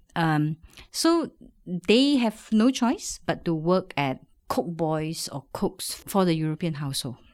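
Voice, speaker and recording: A woman with a normal speaking voice talks with lively intonation. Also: very clean recording, silent background. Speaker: food researcher and lecturer. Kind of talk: interview.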